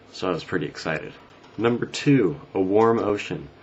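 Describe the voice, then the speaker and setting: A man mumbles with an American accent. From US West Coast. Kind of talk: casual talk to camera. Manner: mumbling.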